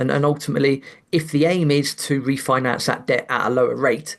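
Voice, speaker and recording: This man's fairly high-pitched voice moves at a moderate pace. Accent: British. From England. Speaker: investment commentator. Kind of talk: podcast interview. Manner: halting, repeated words.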